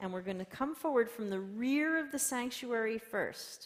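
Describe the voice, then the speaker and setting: A woman's plain, everyday voice with lively intonation at a fairly slow pace. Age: 60s. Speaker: pastor. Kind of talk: sermon. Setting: church. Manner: casual.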